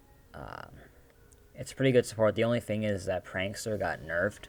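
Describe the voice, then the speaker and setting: This man talks at a fairly quick pace with a fairly low pitch. Vocal fry runs through his voice. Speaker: gaming video creator. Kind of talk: casual gaming commentary. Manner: hesitant, many fillers.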